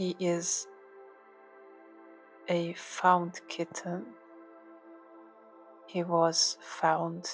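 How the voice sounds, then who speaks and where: A soft-spoken woman, fairly low-pitched and monotone, very slow with long, frequent pauses, over music in the background. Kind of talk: ASMR cat relaxation talk to camera.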